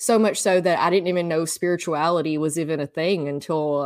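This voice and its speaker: Speaking at a moderate pace with a Southern US accent, a woman uses a fairly low pitch and ordinary pitch variation on a very clean recording with a silent background. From US South. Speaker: podcaster and energy healing practitioner. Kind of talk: casual interview. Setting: podcast recording.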